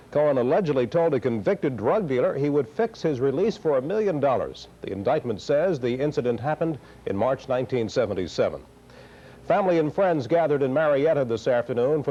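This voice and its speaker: Speaking in an unremarkable speaking voice, a man with a fairly high pitch talks at a fairly quick pace with lively intonation. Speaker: television news anchor. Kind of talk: TV news anchor delivery.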